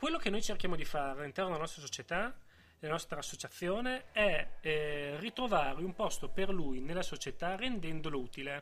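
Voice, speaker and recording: Lively intonation marks this man's high-pitched voice. He talks at a fairly quick pace with a bright, sharp tone. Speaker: guest expert on nerd culture. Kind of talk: casual interview.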